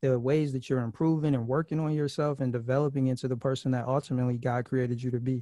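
A man speaks very fast at a medium pitch, his tone dark and mellow. His intonation stays fairly even against a quiet background. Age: 30s. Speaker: podcast host on dating and singleness. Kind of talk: casual interview.

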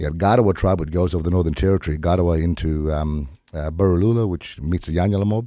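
This man has a very deep, low voice with a dark, mellow tone, ordinary pitch variation and a very fast pace. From Australia, lower Gulf of Carpentaria. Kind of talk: radio interview. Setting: radio studio.

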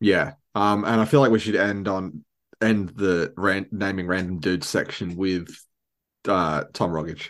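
Over a quiet background, a man with an Australian accent talks fairly slowly at a very deep, low pitch with fairly even intonation. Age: 20s. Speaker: podcast host. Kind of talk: casual chat.

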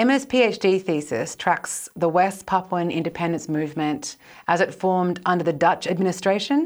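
On a very clean recording with a silent background, a woman uses a normal speaking voice, fairly low in pitch and fairly quick in pace. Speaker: historian, podcast co-host. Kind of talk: interview.

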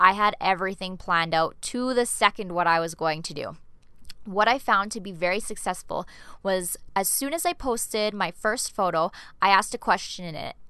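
Against a quiet background, a woman with a Canadian accent speaks at a moderate pace in a medium pitch, her bright, sharp tone showing ordinary pitch variation and big swings in loudness. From Canada. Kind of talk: solo podcast tutorial.

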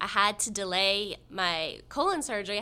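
A woman talks at a moderate pace with medium pitch. It is an ordinary speaking voice. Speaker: patient advocate. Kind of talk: interview.

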